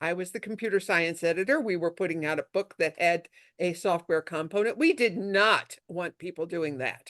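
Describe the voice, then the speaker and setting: An upstate New York accent at a moderate pace, with ordinary pitch variation, hardly any pauses and a dry, close sound with no echo. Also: woman, fairly low pitch for a woman. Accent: upstate New York twang. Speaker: intellectual property lawyer. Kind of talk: talk to a networking group. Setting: video call.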